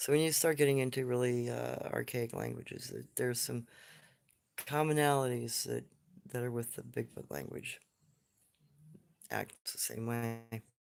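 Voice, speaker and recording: Long pauses come often in this man's speech. Between them, he keeps a moderate pace. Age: 60s. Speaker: livestream host on cryptids. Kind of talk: casual livestream talk answering chat questions. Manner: hesitant, many fillers and restarts.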